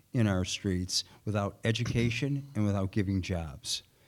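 A man with a Chicago accent speaks at a fairly slow pace and a fairly low pitch with ordinary pitch variation. The recording is very clean with a silent background. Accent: Chicago American. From Chicago, South Side. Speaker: former city alderman, political candidate. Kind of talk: candidates forum debate. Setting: stage with audience.

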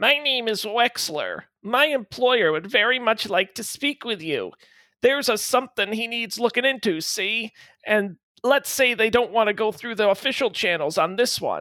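A put-on character voice comes through squeaky and fairly high in pitch at a moderate pace. The recording is very clean, with a silent background. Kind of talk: noir, detective-story style.

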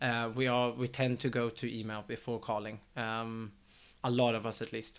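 A man talks at a moderate pace and a medium pitch, with a Swedish accent and monotone, flat intonation. The recording is very clean, with a silent background. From Sweden. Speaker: tech startup executive. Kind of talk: casual chat.

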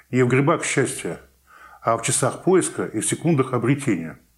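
A man's medium-pitched, somewhat breathy voice at a moderate pace, with lively intonation, on a very clean recording with a silent background. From Saint Petersburg, Russia. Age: 50s. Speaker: real estate forum organizer. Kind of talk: interview. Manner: halting.

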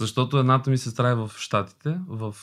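A man of medium pitch speaks with fairly even intonation on a very clean recording with a silent background. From Albania, moved to Bulgaria at 10. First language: Albanian (speaking Bulgarian). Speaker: actor. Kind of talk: casual chat.

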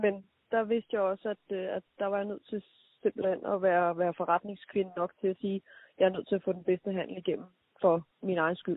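Woman at a moderate pace, medium pitch, flat monotone intonation. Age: 30s. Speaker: entrepreneur. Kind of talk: interview. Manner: hesitant, many fillers.

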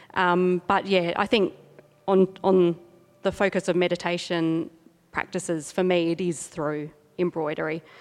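With an Australian accent, a woman speaks fairly slowly in a flat monotone at a fairly low pitch, leaving long, frequent pauses. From South Australia. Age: 40s. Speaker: artist. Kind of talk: gallery talk. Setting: gallery with audience.

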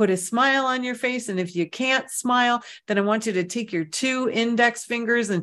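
Here a woman talks in a normal speaking voice. The background is quiet. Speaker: meditation guide and clairvoyant reader. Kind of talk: guided meditation. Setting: online virtual session, from home. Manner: gentle, unhurried, soothing; warm, conversational.

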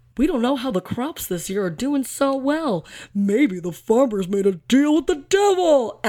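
A put-on character voice, high in pitch, moves at a moderate pace. The recording is very clean with a silent background. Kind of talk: broadcast announcer. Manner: annoying announcer.

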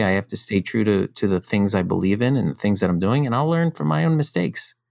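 A man is speaking. His pitch swings very widely. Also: very clean recording, silent background. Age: 50s. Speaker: startup founder. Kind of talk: casual chat.

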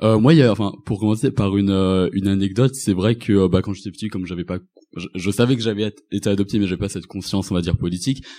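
Over a quiet background, a man with a fairly low pitch and a dark, mellow tone speaks at a very fast pace. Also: ordinary pitch variation. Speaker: student and anti-racist activist. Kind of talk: live panel discussion. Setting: stage with audience.

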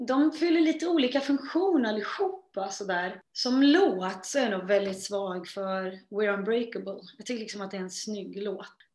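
A woman speaks at medium pitch and a moderate pace, with hardly any pauses. Her intonation is lively, her loudness swings widely, and room echo is audible. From Sweden. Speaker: singer. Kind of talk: interview.

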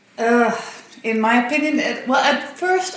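Fairly high-pitched, a woman with a Dutch accent uses lively intonation at a fairly slow pace. Noticeable background noise is present. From Netherlands. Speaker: parent. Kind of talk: interview.

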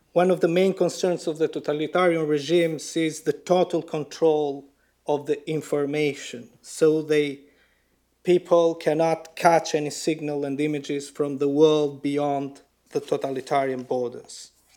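A man's fairly high, dark and mellow voice with an Albanian accent, at a moderate pace, monotone and flat, in a very clean recording with a silent background. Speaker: writer. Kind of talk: lecture. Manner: formal.

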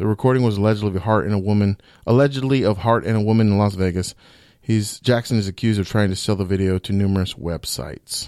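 Speaking at a very fast pace, a man has a fairly low pitch and a dark, mellow tone with ordinary variation. The recording is very clean, its background silent. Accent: American. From Okeechobee, Florida. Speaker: comedian. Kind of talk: casual chat. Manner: animated.

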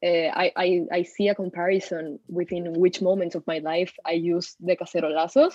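A woman speaks with a Spanish accent and fairly even intonation. She barely pauses at all. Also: fairly low pitch for a woman, moderate pace. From Peru. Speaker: university student. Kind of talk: casual discussion.

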